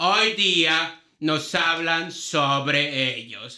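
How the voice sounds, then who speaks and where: A man's high-pitched voice, bright and sharp in tone, at a very slow pace. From Mexico City. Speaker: podcast host, physicist. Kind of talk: casual chat; dramatic narration intro.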